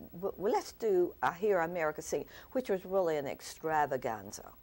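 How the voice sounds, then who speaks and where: A woman speaks in a plain, everyday voice with a fairly low pitch and ordinary pitch variation. The recording is very clean, with a silent background. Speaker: founder and director of a senior performing group. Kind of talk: interview. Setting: TV studio.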